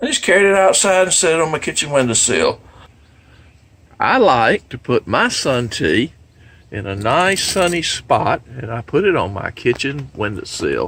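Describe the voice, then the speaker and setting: Delivered at a moderate pace, the voice has vocal fry and very wide pitch swings. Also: man, fairly high pitch for a man. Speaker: homesteading video maker. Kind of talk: tutorial. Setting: kitchen.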